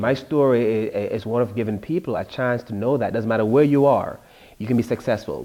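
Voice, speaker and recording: A man with a strong Jamaican accent talks at a fairly quick pace in a medium-pitched voice with a dark, mellow tone. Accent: thick Jamaican. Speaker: author. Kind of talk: interview.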